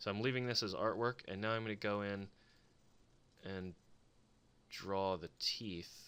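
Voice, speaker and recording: With long, frequent pauses, a man mumbles at a fairly slow pace in a fairly low pitch, his bright, sharp tone and fairly even intonation captured on a very clean recording with a silent background. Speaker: embroidery digitizer, video creator. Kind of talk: screen-recorded tutorial. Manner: mumbling; casual, thinking aloud.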